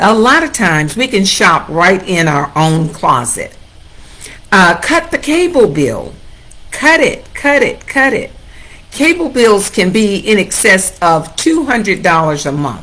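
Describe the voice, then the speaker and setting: A woman with an American accent, medium in pitch, bright and sharp in tone, with very wide pitch swings and a fairly slow pace. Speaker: real estate agent. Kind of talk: livestream talk. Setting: Facebook Live.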